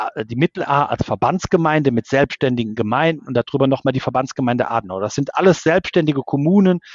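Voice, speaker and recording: Using an unremarkable speaking voice, the man talks fairly high for a male, his pitch moving in an ordinary way. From Ahr valley, Rhineland-Palatinate, Germany. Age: 50s. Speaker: civil engineer, engineering firm owner. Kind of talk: interview.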